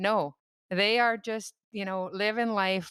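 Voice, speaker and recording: In a Canadian accent, a woman talks with monotone, flat intonation, recorded dry and close with no echo on a very clean track with a silent background. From Canadian Prairies, Saskatchewan. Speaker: dietitian. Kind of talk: podcast interview. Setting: podcast.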